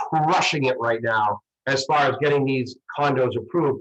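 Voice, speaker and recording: A somewhat breathy man's voice with a Boston accent, fairly high in pitch, at a moderate pace with ordinary pitch variation. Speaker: mortgage broker. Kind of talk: panel discussion. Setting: video call. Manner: halting.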